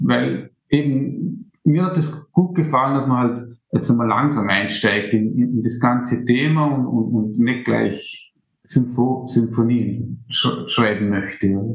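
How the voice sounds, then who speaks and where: Audible room echo surrounds a man speaking at a very slow pace and a medium pitch, with vocal fry, very even loudness and ordinary pitch variation. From Austria, Vorarlberg (Montafon). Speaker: amateur musician and composition student. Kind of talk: interview. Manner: halting.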